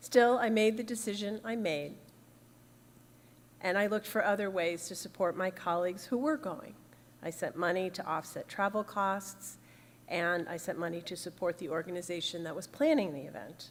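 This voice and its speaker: This is a woman with an ordinary speaking voice. Her pitch is medium with ordinary variation. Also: moderate pace. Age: 60s. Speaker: minister. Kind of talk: sermon.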